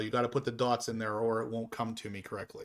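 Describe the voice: On a very clean recording with a silent background, a man talks at a fairly quick pace with a Pittsburgh accent and monotone, flat intonation. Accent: Pittsburgh, Western Pennsylvania.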